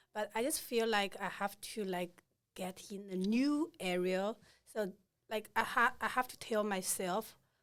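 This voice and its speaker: Recorded very cleanly against a silent background, a woman with a non-native accent speaks fairly slowly at a medium pitch with ordinary pitch variation. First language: not English. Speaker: nursing student. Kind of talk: casual interview chat. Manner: halting.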